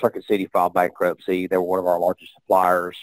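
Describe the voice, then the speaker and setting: A man speaks in a very deep, low pitch, the sound dry and close with no echo. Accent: strong Southern US. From US South. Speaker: real estate investor. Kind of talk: interview. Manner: halting, many fillers.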